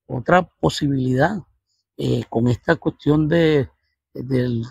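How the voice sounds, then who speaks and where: A man with a Caracas accent sounds somewhat breathy at a fairly high pitch, recorded dry and close with no echo. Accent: Venezuelan Spanish (Caracas). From Venezuela, Caracas. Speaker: mathematics professor and researcher. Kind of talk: interview. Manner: halting, with many fillers.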